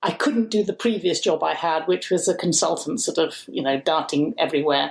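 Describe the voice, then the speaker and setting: A woman speaks with a Birmingham accent in a very clean recording with a silent background. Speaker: community food campaigner. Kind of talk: interview conversation.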